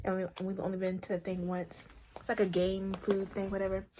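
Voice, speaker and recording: Noticeable background noise runs behind the clip. A woman speaks at a fairly quick pace. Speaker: vlogger. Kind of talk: casual vlog. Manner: fast.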